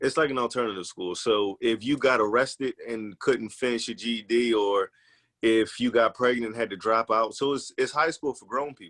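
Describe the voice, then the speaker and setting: A man with an unremarkable speaking voice talks at a medium pitch and moderate pace, with fairly even intonation, big swings in loudness, and a dry, close sound with no echo. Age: 30s. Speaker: journalist and actor. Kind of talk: casual podcast interview.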